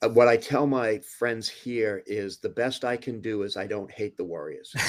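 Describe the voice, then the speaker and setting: A man with a strong Boston accent speaks at a medium pitch and moderate pace, keeping his intonation fairly even. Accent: Boston accent, still strong. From US Northeast, Boston area (Somerville). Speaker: physician and clinical trialist. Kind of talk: podcast interview. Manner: repeats words, hesitant starts.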